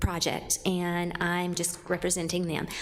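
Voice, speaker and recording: A woman speaks quietly at a fairly slow pace and medium pitch, with music in the background and audible room echo. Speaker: construction company representative. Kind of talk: public meeting testimony. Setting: public commission meeting.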